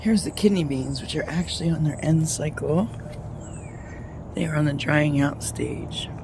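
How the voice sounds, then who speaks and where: The speaker talks quietly at a moderate pace with long, frequent pauses, over noticeable background noise. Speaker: home gardener vlogger. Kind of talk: casual video walkthrough. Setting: outdoors in a garden. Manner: speaking quietly.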